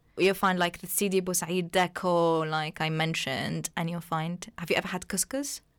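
A woman with an Arabic accent, a fairly low pitch and fairly even intonation, hardly any pauses, on a very clean recording with a silent background. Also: moderate pace. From Tunisia, small coastal town. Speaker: journalism student. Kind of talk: casual chat.

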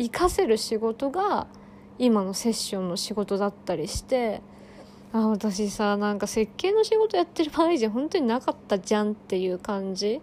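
With an unremarkable speaking voice, a woman talks at a fairly high pitch and moderate pace, her intonation lively. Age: 20s. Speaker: podcaster and spiritual session practitioner. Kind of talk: casual solo monologue.

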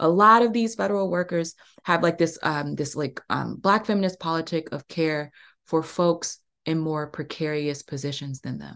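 With an American accent, a woman speaks at a moderate pace in a fairly low pitch, showing ordinary pitch variation over a quiet background. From US Mid-Atlantic, Prince George's County, Maryland. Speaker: podcast host and workshop facilitator. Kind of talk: workshop podcast monologue. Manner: warm, halting with many fillers.

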